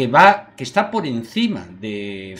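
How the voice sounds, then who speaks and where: The speaker is a man with a medium-pitched voice. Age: 50s. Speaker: interviewer. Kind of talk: interview.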